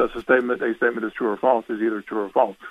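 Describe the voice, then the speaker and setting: The speaker is a man with an American accent. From Pennsylvania. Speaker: radio caller. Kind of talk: debate on a call-in show. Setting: phone call. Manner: halting, many fillers.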